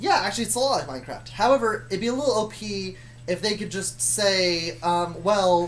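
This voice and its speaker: The speech moves at a fairly quick pace against noticeable background noise. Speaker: YouTuber telling a story. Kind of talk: casual storytelling chat. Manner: fast; slurred words. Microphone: laptop mic, not great.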